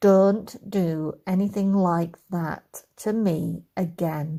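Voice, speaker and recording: A female-sounding, put-on character voice growls at a medium pitch for a woman. The pace is very slow and the tone is stern. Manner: stern, growling, like scolding a bad dog.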